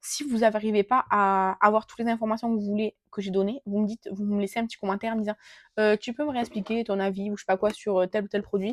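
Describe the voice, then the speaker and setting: A woman's fairly high pitch, very fast pace and monotone, flat intonation on a very clean recording with a silent background. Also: dry, close sound with no echo. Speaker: beauty vlogger. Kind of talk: casual product review vlog. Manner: hesitant, many filler sounds. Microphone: new gifted mic, unsure if working.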